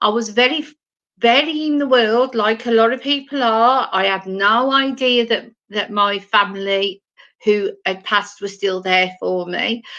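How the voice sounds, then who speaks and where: Fairly high in pitch, a woman speaks with a bright, sharp tone at a fairly slow pace. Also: ordinary pitch variation. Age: 60s. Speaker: spiritual medium. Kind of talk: live stream monologue. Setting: at home, live stream. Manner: halting, with many fillers.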